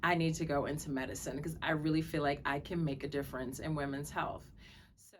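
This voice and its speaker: A woman's very deep, low voice with an American accent, fairly quick and monotone, with flat intonation and audible room echo. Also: big swings in loudness. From Brooklyn, New York. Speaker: physician. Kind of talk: self-introduction to camera.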